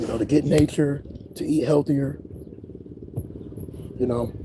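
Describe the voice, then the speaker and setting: An animated man, medium-pitched and fairly quick, over noticeable background noise. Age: 20s. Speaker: spiritual YouTuber. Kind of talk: casual livestream monologue. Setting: outdoors.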